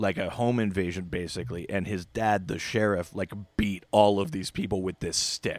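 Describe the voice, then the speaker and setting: Recorded very cleanly against a silent background with a dry, close sound and no echo, a man with a Canadian accent has an ordinary speaking voice, fairly low in pitch with ordinary pitch variation. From southern Ontario, Canada. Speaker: guest, comic fan. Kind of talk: casual chat, podcast discussion.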